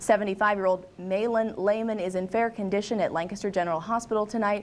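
Over light background noise, a woman speaks at a fairly quick pace. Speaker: news anchor. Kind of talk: news reading. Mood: serious neutral news tone. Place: studio.

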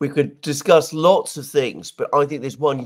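Moderate pace against a quiet background. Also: man. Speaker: co-host commentator. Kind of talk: commentary. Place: home room. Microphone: headset.

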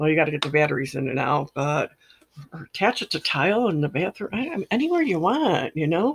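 A woman with a very deep, low pitch and lively intonation speaks at a very fast pace. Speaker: product reviewer. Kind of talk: product review. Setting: home room. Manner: casual, rambling. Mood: pleased, enthusiastic. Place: home room. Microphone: webcam.

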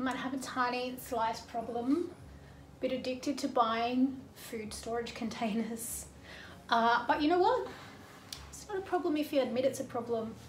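A woman speaks fairly slowly in a high voice with ordinary pitch variation and big swings in loudness. Room echo is audible, along with light background noise. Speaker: home organising vlogger. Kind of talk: casual vlog chat. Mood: light, self-mocking humour. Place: kitchen.

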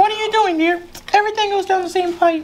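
Over clear background noise, a woman puts on a squeaky character voice at an extremely high pitch and talks at a very fast pace. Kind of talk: comic sketch acting. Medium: comedy sketch. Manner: sweet, chirpy, repetitive.

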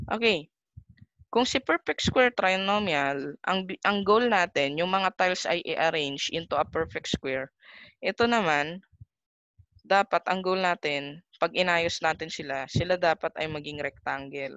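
A normal speaking voice at a fairly slow pace, dry with no echo, over a quiet background. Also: woman, fairly low pitch for a woman. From Philippines. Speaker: math teacher. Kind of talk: casual chat; lecture. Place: home room. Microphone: webcam.

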